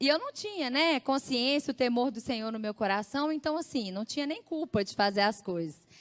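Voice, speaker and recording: A woman speaks with very wide pitch swings. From Brazil, Belo Horizonte (Minas Gerais). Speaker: church speaker giving testimony. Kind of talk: testimony.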